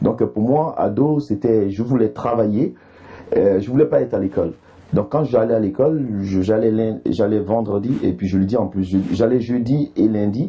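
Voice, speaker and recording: With an Ivorian accent, a man speaks at a moderate pace and a medium pitch, using ordinary pitch variation. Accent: Ivorian accent, kept. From Ivory Coast. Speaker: comedian. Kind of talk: interview.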